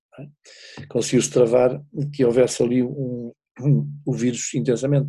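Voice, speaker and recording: In a European Portuguese accent, a man talks at medium pitch. His tone is dark and mellow. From Portugal. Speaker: wine businessman living abroad. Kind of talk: casual chat.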